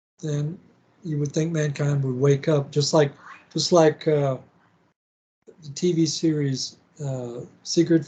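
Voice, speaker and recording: Fairly high-pitched man with a dark, mellow tone, somewhat breathy, with monotone, flat intonation, a fairly slow pace and long, frequent pauses. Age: 60s. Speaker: podcast host. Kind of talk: interview conversation. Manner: halting.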